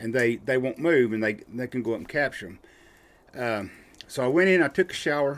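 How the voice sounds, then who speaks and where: A man with a Southern US accent, medium pitch, lively intonation and a fairly quick pace. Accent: Southern US rural. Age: 60s. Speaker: outdoorsman and podcast guest. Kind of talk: casual chat, storytelling.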